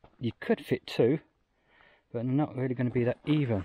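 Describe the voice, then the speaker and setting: The sound is dry with no echo and has light background noise. A man talks at a moderate pace, somewhat breathy, with ordinary pitch variation. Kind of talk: casual vlog commentary. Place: forest. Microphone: phone near.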